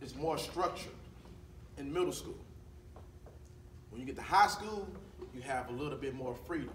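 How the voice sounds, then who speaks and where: The voice moves at a moderate pace with lively intonation, big swings in loudness and long, frequent pauses, with audible room echo and noticeable background noise. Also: man, fairly high pitch for a man. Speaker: school counselor. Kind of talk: school presentation to students. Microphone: speaks without a microphone.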